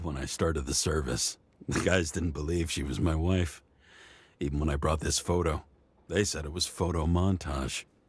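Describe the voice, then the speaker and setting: Putting on a character voice, a man speaks at a very deep, low pitch with a raspy, weary tone, fairly even intonation and a moderate pace, on a very clean recording with a silent background. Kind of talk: hard-boiled noir voice-over. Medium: video game. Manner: weary, brooding.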